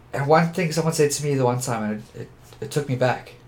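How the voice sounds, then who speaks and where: A man speaks at a fairly quick pace in a somewhat breathy voice. His pitch is medium, with ordinary variation. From Johannesburg, South Africa. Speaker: photographer. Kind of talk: interview conversation.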